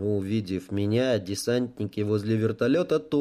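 The speaker uses plain reading aloud. The delivery sounds read from a page.

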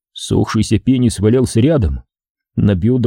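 In a natural voice, with ordinary pitch variation, someone reads aloud while the background stays quiet.

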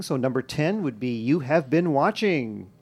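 Against a quiet background, a man with a fairly high pitch speaks in a normal speaking voice. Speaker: podcast host. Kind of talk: casual chat.

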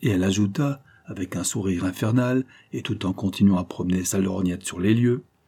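With ordinary pitch variation, the words come in an unforced reading voice.

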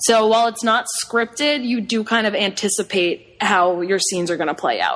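In a normal speaking voice, a woman with an American accent talks at a moderate pace with hardly any pauses. Her pitch is fairly high, with ordinary pitch variation. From Long Island, New York. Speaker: improv performer. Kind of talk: casual chat.

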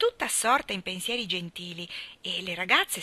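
Text is being read out. The voice is a natural reading voice.

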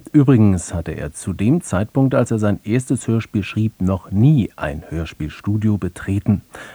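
A man's low, dark and mellow voice with a slightly husky edge, lively intonation and a fairly slow pace

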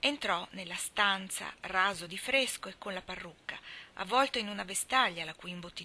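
The clip features a natural reading voice.

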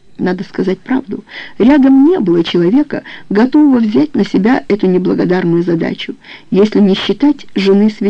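The speaker uses a natural reading voice whose intonation is lively.

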